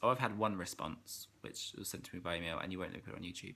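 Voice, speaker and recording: A man's bright, sharp voice at a very fast pace. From England. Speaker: vlogger. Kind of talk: casual vlog chat. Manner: clear diction for the camera.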